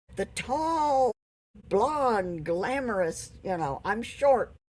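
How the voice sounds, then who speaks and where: Speaking at a very slow pace, a woman with an American accent uses very wide pitch swings. Her pitch sits fairly high. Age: 80s+. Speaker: COPD patient advocate. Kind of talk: casual interview chat.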